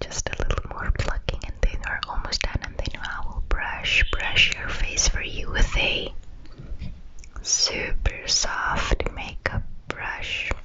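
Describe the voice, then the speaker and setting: Whispering in a gentle tone, a woman speaks very slowly over light background noise. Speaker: ASMR creator. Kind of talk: soft-spoken roleplay. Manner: gentle close-mic whisper. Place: home room. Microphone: studio mic.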